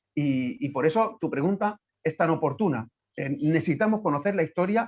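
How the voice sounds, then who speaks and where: The pitch swings very widely. The speaker has an Andalusian accent. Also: man. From Andalusia, Guadalquivir valley. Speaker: professor and writer. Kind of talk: virtual lecture Q&A. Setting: video call.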